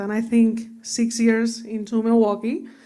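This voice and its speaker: The speaker is a woman with a fairly high pitch. Audible room echo surrounds her voice. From Spain (Madrid). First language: Spanish. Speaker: finance executive. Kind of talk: panel discussion.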